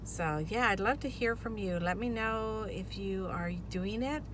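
The woman's voice has a dry sound with no echo, and there is noticeable background noise. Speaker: vlogger. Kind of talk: casual vlog chat. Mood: upbeat, excited. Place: car. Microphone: phone near.

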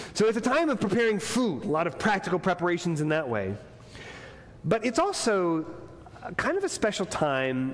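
Speaking rather fast, a man lets his pitch leap across a very broad range. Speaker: pastor. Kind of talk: sermon. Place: church. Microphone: lapel.

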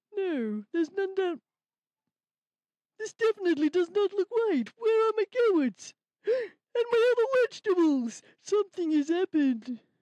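A cartoonish character voice at an extremely high pitch. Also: moderate pace. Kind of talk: children's puppet show. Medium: puppet.

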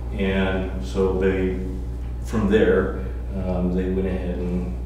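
Against noticeable background noise and strong room echo, a man speaks with a very deep, low pitch and ordinary pitch variation. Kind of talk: meeting answer to public comment. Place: meeting room.

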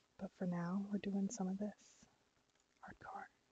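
The voice is whispering. It is soft-spoken. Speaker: ASMR creator and streamer. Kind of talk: ASMR educational talk while gaming. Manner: whispered, soft-spoken.

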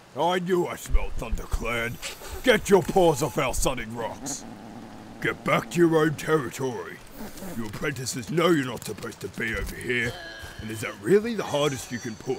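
A man's cartoonish character voice, fairly high in pitch, with clear background noise. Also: moderate pace. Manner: gruff, scornful.

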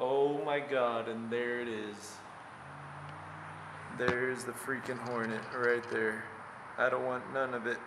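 A man talks very slowly, leaving long, frequent pauses, with noticeable background noise behind him. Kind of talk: casual exploration commentary. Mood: nervous, wary of hornets. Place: empty room. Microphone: phone near.

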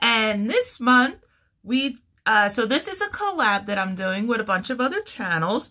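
A woman talks fairly slowly, and the background stays quiet. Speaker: crochet channel host. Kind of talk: casual vlog chat. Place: home room. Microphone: phone near.

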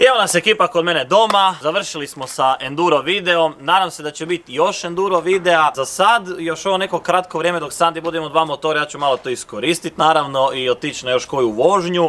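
Speaking at a fairly quick pace with hardly any pauses, a man uses a high pitch and ordinary pitch variation. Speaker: motorbike vlogger. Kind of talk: casual vlog chat.

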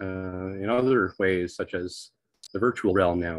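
An unremarkable speaking voice from a man, fairly low in pitch with ordinary pitch variation, in a dry sound with no echo against a quiet background. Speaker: presenter. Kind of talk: lecture. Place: home room. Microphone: video call.

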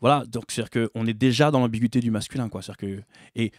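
Fairly even intonation and a fairly quick pace mark this man's medium-pitched voice. The recording is very clean with a silent background and a dry, close sound with no echo. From Paris suburbs (Bobigny). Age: 40s. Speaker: musician and theatre actor. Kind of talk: interview conversation.

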